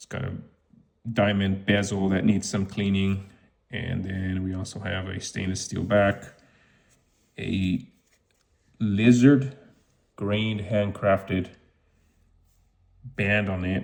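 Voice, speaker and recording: Very slowly and with long, frequent pauses, a man with a fairly low pitch speaks in fairly even intonation while his loudness swings widely. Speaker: watch reseller YouTuber. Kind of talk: unboxing commentary. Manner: casual with fillers.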